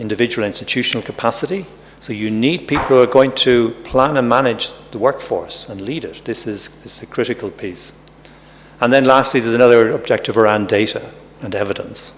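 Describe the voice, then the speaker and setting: Over noticeable background noise, a man with an Irish accent talks at a fairly quick pace and medium pitch, with ordinary pitch variation and big swings in loudness. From Ireland. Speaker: professor, health workforce expert. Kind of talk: conference talk. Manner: halting, with repetitions.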